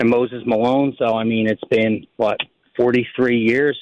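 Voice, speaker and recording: This man speaks with a Philadelphia accent. His pitch sits in the medium range. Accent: Philly. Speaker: government housing official. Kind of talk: radio interview.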